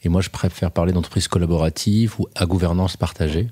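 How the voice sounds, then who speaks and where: Very fast speech with a dark, mellow tone and fairly even intonation, on a very clean recording with a silent background. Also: man. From Morocco. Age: 40s. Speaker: entrepreneur. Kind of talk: interview.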